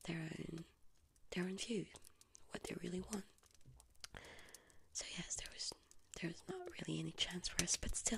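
A woman is speaking. She is whispering. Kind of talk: emotional monologue addressed to camera. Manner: soft, close ASMR voice, melancholy. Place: home room.

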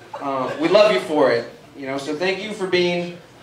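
A man talks at a moderate pace with lively intonation, over light background noise and audible room echo. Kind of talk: comedy roast speech. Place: stage.

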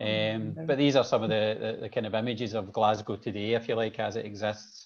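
Fairly quick speech in a Scottish accent, with fairly even intonation. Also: man, fairly low pitch for a man. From Scotland. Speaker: city planner; presenter. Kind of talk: presentation. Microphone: video call.

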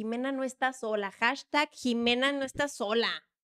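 A woman speaks in an animated tone against a quiet background. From Mexico. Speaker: football podcast host; podcast host. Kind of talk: casual chat. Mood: playful gossipy banter. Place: studio. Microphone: studio mic.

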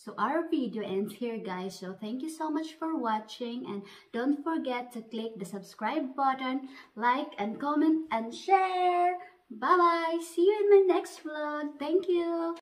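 Against a quiet background, a woman with a high pitch talks at a fairly slow pace, with very wide pitch swings and big swings in loudness. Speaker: vlogger. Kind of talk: casual vlog chat. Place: home room. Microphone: phone near.

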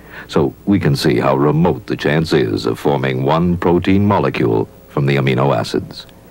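A man's very deep, low voice at a moderate pace, with ordinary pitch variation, very even loudness, hardly any pauses, and noticeable background noise. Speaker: narrator. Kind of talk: scripted narration.

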